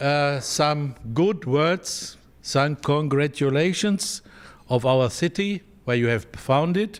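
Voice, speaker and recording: The speaker talks at a very slow pace with a German accent, lively intonation and very even loudness. The recording is very clean and the background silent. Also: man. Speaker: visiting delegate from the founding town. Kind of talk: formal speech. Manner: halting.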